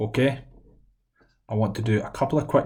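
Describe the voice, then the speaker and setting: Speaking with a Scottish accent, a man with a fairly low pitch and a dark, mellow tone sounds somewhat breathy, keeping his intonation fairly even amid audible room echo. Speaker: maths teacher. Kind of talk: lecture. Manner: fast.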